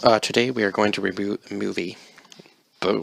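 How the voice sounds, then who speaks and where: A man's voice with a fairly low pitch. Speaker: movie reviewer. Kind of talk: unscripted movie review. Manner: fast; tongue-tied, stumbling.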